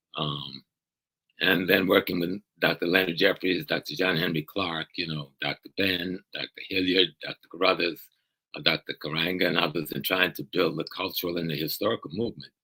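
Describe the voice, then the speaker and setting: An American-accented man talks at a fairly quick pace with fairly even intonation. His very deep, low voice has a bright, sharp tone, recorded dry and close with no echo. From US South. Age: 70s. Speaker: professor and activist. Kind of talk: interview conversation.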